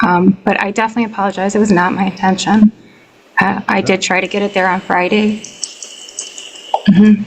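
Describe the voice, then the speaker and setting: A soft-spoken woman with an American accent talks at a medium pitch in a monotone, flat intonation, leaving long, frequent pauses over noticeable background noise. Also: fairly quick pace. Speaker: tenant. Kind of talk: court testimony. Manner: hesitant. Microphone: too quiet, hard to hear.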